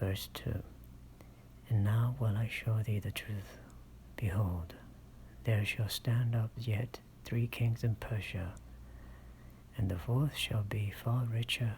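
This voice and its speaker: The speaker is soft-spoken at a very slow pace. Long, frequent pauses break up the speech. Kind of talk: ASMR scripture reading, soft-spoken Bible narration.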